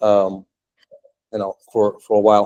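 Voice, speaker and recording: A man speaks at a moderate pace in a fairly low voice, with a dry, close sound and no echo. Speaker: tech entrepreneur and meetup speaker. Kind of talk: technical meetup talk. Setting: meetup room with live audience. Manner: casual, many filler words.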